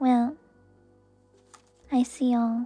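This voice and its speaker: With music in the background, a soft-spoken woman talks at a high pitch. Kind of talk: tarot reading stream to viewers. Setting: livestream with handcam.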